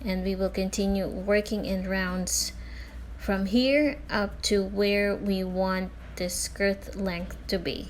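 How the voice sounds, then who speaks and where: Speaking at a very slow pace, a woman has a Filipino accent. Room echo is audible. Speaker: crochet tutorial creator. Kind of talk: tutorial. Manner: casual with filler words.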